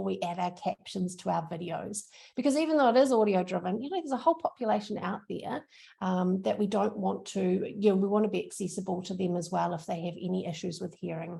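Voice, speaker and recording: Speaking in a strong New Zealand accent, a woman uses a medium pitch, a dark, mellow tone, vocal fry and lively intonation at a fairly quick pace. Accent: thick New Zealand. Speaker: social media trainer. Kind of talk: workshop presentation. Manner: casual, upbeat.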